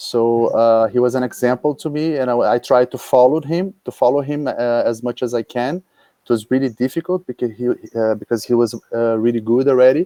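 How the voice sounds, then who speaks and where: Dark, mellow man's voice in a Portuguese accent, medium-pitched with ordinary pitch variation, fairly quick, dry and close with no echo. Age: 30s. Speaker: paragliding pilot. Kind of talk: interview. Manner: halting.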